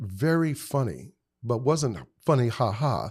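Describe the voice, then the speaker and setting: Very slowly, a man speaks with lively intonation. The recording is very clean, with a silent background. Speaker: actor and acting coach. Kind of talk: interview chat telling career stories.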